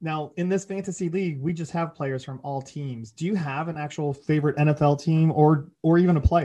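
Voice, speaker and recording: Against a quiet background, a man with a plain, everyday voice speaks fairly quickly at a fairly high pitch, with ordinary pitch variation. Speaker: podcast co-host. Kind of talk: casual chat.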